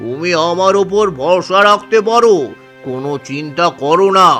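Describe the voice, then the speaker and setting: A man does a cartoonish character voice with a high pitch at a fairly slow pace. Clear music plays in the background. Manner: smooth, sly.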